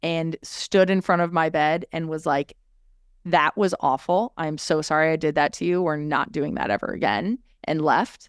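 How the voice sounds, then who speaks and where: A woman with a normal speaking voice talks at a moderate pace and a fairly low pitch, her intonation fairly even. The sound is dry and close with no echo, on a very clean recording with a silent background. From California, Orange County. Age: 30s. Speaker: podcaster. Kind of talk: casual chat.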